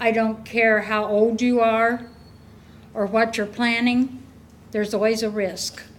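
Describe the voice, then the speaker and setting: There is audible room echo as a woman speaks at a fairly high pitch. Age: 70s. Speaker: resident speaking at public hearing. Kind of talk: public comment at council meeting. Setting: council meeting room.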